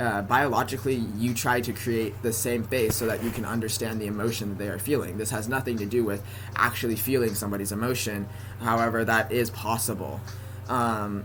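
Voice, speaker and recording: Over noticeable background noise, a man with a General American accent talks at a moderate pace and medium pitch in a monotone, flat intonation. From San Francisco Bay Area. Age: 20s. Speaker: college student. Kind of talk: casual talk to camera. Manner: occasional stutter.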